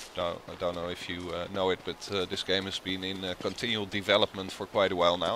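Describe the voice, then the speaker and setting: Very deep and low in pitch, a man with a strong Dutch accent talks at a fairly quick pace in a monotone, flat way over noticeable background noise. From Netherlands. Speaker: gaming video creator. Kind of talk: let's play commentary. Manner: halting, many filler sounds. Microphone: poor sound quality, old headset.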